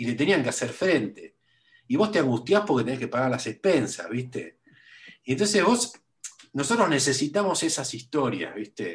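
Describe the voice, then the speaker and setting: Somewhat breathy speech in a Rioplatense accent, with very wide pitch swings at a moderate pace. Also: man, fairly high pitch for a man. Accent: Rioplatense Spanish (porteño). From Buenos Aires, Argentina. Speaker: writer and museum researcher. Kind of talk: interview. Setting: remote call. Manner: halting, many fillers and repetitions.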